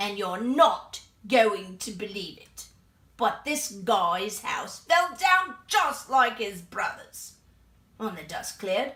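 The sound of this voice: A woman uses a put-on character voice. Her pitch is fairly high.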